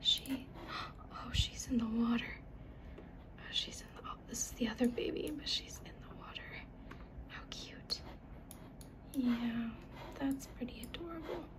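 The speaker whispers throughout. Long pauses break up the speech frequently. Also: fairly slow pace. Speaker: ASMR creator. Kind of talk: ASMR soft-spoken video game tour. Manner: soft-spoken. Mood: gentle, amused. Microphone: phone near.

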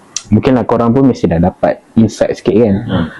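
Noticeable background noise accompanies a man speaking at a fairly quick pace. His voice is medium in pitch with ordinary variation. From Malaysia, Perak. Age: 20s. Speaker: counselling officer. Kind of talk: casual interview.

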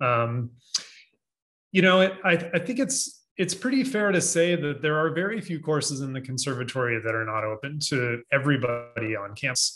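A man, fairly high in pitch, with a bright, sharp tone, lively intonation and a moderate pace. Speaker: associate dean, music technology teacher; music technology teacher. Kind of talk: panel discussion. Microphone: video call.

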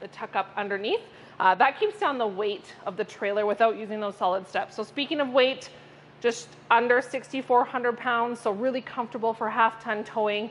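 Music plays behind a speaker who keeps a moderate pace. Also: woman, fairly even intonation. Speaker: RV salesperson. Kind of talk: product walkthrough. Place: hall.

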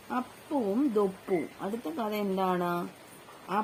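Reading aloud in a natural voice, with pitch that shifts in an ordinary manner

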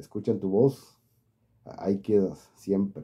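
A man with a Mexican accent speaks very slowly in a dark, mellow tone against a quiet background. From Mexico. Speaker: YouTuber, political commentary channel. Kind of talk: casual vlog monologue. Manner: halting. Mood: warm, advising, friendly. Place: home room. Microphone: phone near.

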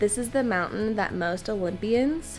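With faint music in the background, a woman talks at a fairly slow pace. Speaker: travel vlogger. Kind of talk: casual vlog chat. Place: home room. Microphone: phone near.

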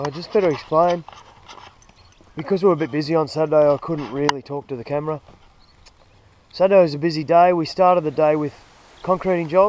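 A man talks at a very fast pace with fairly even intonation over light background noise. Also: dry sound with no echo. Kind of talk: casual vlog chat. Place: open country. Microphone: phone near.

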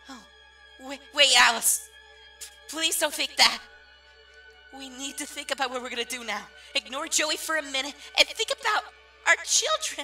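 A cartoonish character voice with a bright, sharp tone and lively intonation moves at a moderate pace, with long, frequent pauses. Faint music plays in the background.

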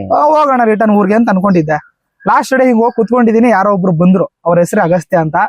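Pitch moves in an ordinary way, and the recording sounds dry and close with no echo. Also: man. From North Karnataka, Kalaburagi. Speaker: social media content creator. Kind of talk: interview.

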